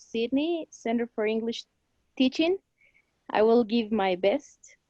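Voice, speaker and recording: This woman's voice is high in pitch. She keeps a moderate tempo. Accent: Spanish. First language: Spanish. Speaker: language student. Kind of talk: class participation.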